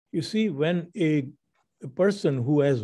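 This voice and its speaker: With a dark, mellow tone and a somewhat breathy edge, a man speaks at a fairly slow pace on a very clean recording with a silent background. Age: 80s+. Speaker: radio show host. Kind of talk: casual chat.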